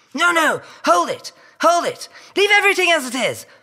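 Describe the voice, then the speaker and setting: A man shouts in a put-on character voice at an extremely high pitch. His raised, projected voice moves at a moderate pace. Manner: yelled.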